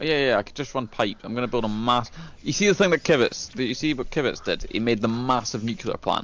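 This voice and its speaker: At a very fast pace, the speaker shows ordinary pitch variation with a slight Scottish accent. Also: man, medium pitch for a man. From Scotland. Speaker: gamer showing his factory build. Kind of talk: casual chat.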